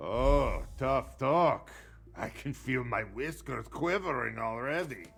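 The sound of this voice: A man's put-on character voice with vocal fry, lively intonation, a fairly bright tone and a slow pace. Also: medium pitch for a man.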